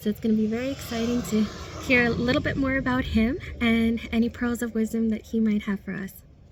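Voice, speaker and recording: Speech comes at a very fast pace with monotone, flat intonation. Noticeable background noise sits behind it. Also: woman, fairly high pitch for a woman. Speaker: interviewer, channel host. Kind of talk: interview intro and questions.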